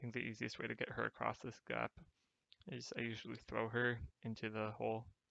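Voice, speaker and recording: This soft-spoken man talks fairly quickly, the sound dry and close with no echo. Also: big swings in loudness. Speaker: game guide narrator. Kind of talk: gameplay tutorial commentary. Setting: home recording, poor mic.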